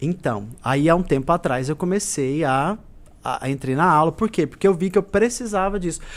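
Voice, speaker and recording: High-pitched male speech with lively intonation at a moderate pace, on a very clean recording with a silent background. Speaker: singer and stage actor. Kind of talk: interview chat. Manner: loud; talkative.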